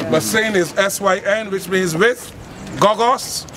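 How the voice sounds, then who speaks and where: A man talks with a Barbadian accent. There is noticeable background noise. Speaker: folk historian and tour guide. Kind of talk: live walking-tour talk. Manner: lively storytelling.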